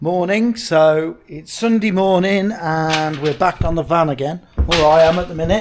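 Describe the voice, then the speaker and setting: Over noticeable background noise, a man with a high pitch speaks at a fairly slow pace with hardly any pauses and ordinary pitch variation. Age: 50s. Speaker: cabinetmaker. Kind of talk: casual talk to camera.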